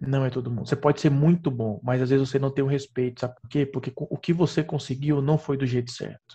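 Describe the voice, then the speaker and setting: A man's dark, mellow, somewhat breathy voice, fairly high in pitch, with fairly even intonation. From Piauí, northeastern Brazil. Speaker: perfusionist and professor. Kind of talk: casual interview chat.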